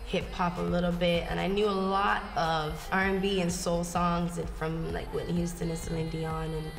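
Music comes through clearly behind the speaker. She is a woman talking at a medium tempo. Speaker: interviewee. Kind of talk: interview answer. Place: home room.

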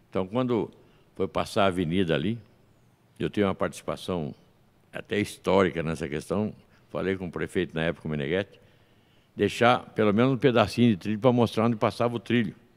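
A man with a fairly low pitch and ordinary pitch variation speaks at a fairly quick pace but leaves long, frequent pauses. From São Paulo state, Brazil. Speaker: podcast host. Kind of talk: interview. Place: studio. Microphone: studio mic.

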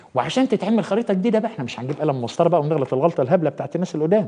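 Speaking at a very fast pace with an Egyptian accent, a man uses an animated tone, a fairly high pitch and very wide pitch swings. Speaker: journalist and international affairs editor; journalist. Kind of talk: TV talk show interview. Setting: studio. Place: studio. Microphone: lapel.

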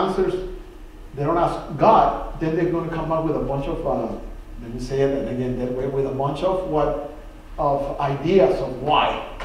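A man speaks at a fairly slow pace. There is audible room echo and light background noise. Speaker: Bible study teacher. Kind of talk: sermon. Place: church. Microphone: camera far.

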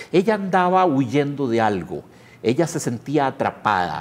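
A man speaks at a fairly slow pace with a Costa Rican accent. His pitch swings very widely. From Costa Rica, San José area. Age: 50s. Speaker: pianist and writer; interviewee. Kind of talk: interview. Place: studio. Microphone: lapel.

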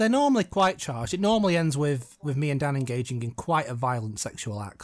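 The speaker has an English accent and a very fast pace. Pitch swings are very wide. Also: man. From England. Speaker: film commentary podcast co-host. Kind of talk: casual chat.

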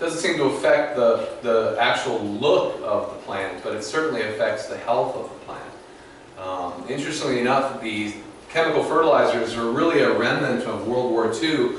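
Strong room echo and light background noise accompany a man speaking at a moderate pace. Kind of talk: lecture. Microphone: camera far.

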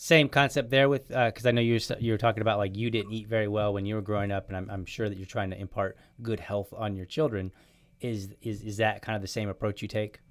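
A man's very fast speech, fairly low in pitch and fairly even in intonation, over a quiet background. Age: 40s. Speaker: podcast host. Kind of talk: casual chat. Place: home room. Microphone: studio mic.

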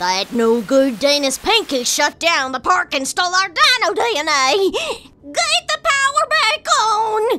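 In a put-on character voice, a female-sounding speaker uses an extremely high pitch with very wide pitch swings, going at a fairly slow pace with hardly any pauses. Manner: hearty, boastful.

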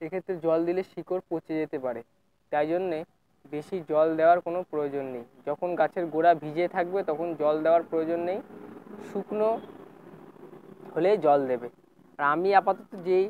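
The sound is dry with no echo. Light background noise can be heard. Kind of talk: tutorial. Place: garden.

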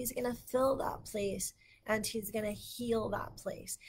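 There is light noise in the background. The speaker has an American accent and talks at a fairly slow pace. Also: woman. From Texas. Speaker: Bible teacher. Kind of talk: livestream Bible teaching. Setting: Facebook live stream. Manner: animated. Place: home room. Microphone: webcam.

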